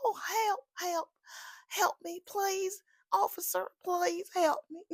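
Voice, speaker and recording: A put-on character voice, female-sounding and extremely high, in a Southern US accent at a very slow pace. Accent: Southern American. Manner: tired, distressed.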